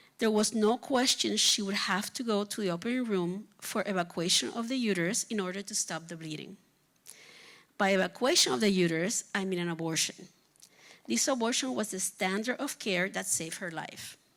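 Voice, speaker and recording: On a very clean recording with a silent background, a woman with a Spanish accent talks fairly quickly with lively intonation. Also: medium pitch for a woman. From Puerto Rico. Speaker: physician. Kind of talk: reading aloud. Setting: stage with audience.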